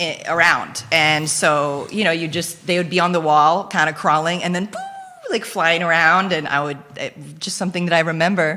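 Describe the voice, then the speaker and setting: A woman's fairly low voice with ordinary pitch variation, over noticeable background noise. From Philippines, Belgian mother. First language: Dutch (Flemish). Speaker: guest, entrepreneur. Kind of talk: casual interview chat. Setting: studio, live show. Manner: animated.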